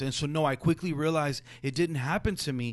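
In a Spanish accent, a man with a fairly high pitch speaks at a fairly quick pace with ordinary pitch variation against a quiet background. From Jalisco, Mexico. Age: 40s. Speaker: educator and school founder. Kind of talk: interview conversation. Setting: foundation conference room.

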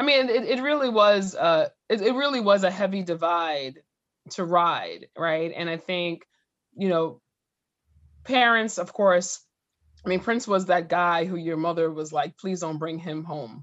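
A woman with an unremarkable speaking voice talks at a fairly slow pace, her fairly low pitch carried by lively intonation. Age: 40s. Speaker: podcast co-host. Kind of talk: casual chat.

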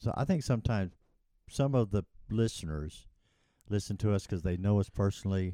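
In a very clean recording with a silent background, a man with a fairly low pitch and a dark, mellow tone talks at a fairly quick pace, with long, frequent pauses. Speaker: podcast co-host. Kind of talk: casual religious discussion.

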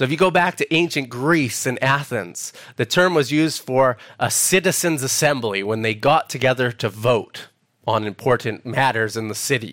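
In a Canadian accent, a man at a medium pitch speaks with lively intonation. He has an unremarkable speaking voice. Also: moderate pace. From Canada, Alberta (Edmonton). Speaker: preacher. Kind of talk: sermon. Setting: church.

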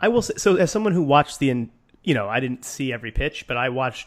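A man at medium pitch with an American accent, very fast and with lively intonation. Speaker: podcast co-host. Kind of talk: casual chat.

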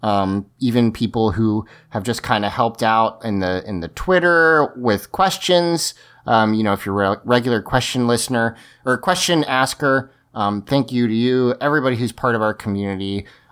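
A normal speaking voice from a man at medium pitch, with ordinary pitch variation and a moderate pace, on a very clean recording with a silent background. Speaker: podcast host, recorded intro.

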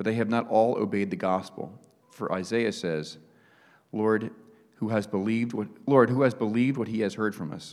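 With an ordinary speaking voice, a man talks at a moderate pace and a fairly low pitch with ordinary pitch variation. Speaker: scripture reader. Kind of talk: reading aloud. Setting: church.

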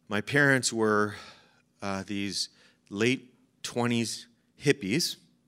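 On a very clean recording with a silent background, a man with an American accent speaks at a very slow pace, with long, frequent pauses. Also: medium pitch for a man, ordinary pitch variation, dry, close sound with no echo. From Chicago. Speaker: pastor. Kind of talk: sermon. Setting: church.

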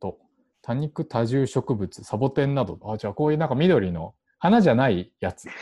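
Talking very fast in a Japanese accent, a man with a medium-pitched, dark, mellow voice makes very wide pitch swings. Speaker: podcast host. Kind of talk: casual chat. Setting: home recording.

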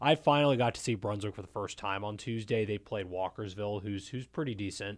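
A man with an American accent talks at a fairly quick pace with hardly any pauses, using an ordinary speaking voice at a fairly low pitch, in a very clean recording with a silent background. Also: ordinary pitch variation. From Maryland, Montgomery County. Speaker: sports writer. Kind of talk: casual discussion.

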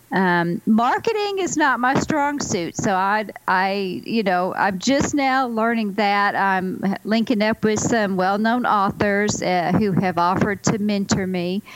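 A woman's medium-pitched voice at a fairly slow pace, with hardly any pauses, ordinary pitch variation and noticeable background noise. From Arkansas, Ozark Mountains. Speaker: author. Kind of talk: interview.

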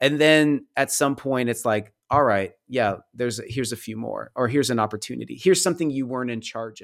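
A man with an ordinary speaking voice talks at a fairly quick pace. His medium pitch has ordinary variation, and the recording is very clean with a silent background. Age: 40s. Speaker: painter and storyteller, author. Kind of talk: casual chat.

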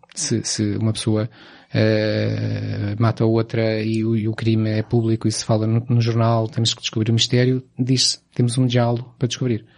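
Speaking fairly slowly, a man holds a medium pitch in a flat monotone. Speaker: film podcast host. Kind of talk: casual chat.

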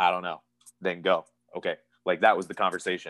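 A man with an American accent, talking at a fairly quick pace. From Pennsylvania, US. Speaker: professional wrestler. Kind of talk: interview.

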